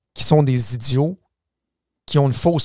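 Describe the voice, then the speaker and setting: Recorded very cleanly with a silent background, a man's dry, close voice with no echo keeps a fairly even intonation. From Quebec, Laval. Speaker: political commentator and former politician. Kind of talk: casual chat. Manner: repetitive stammering restarts.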